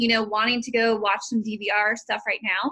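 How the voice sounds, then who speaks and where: A woman talks at a moderate pace, with quiet around her. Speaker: team coach. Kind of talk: motivational team call talk. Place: home room. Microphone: video call.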